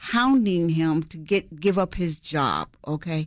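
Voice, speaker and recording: A woman with an American accent, very wide pitch swings and a fairly slow pace. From Chicago (West and South Side). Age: 70s. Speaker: newspaper columnist. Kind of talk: interview. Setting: studio.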